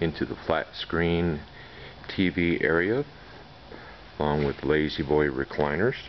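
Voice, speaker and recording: Over light background noise, a man with a very deep, low pitch speaks at a fairly slow pace with long, frequent pauses and ordinary pitch variation. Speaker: auction house staff member giving a walk-through tour of an auction. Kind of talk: casual narration over a video tour. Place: hall. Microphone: phone near.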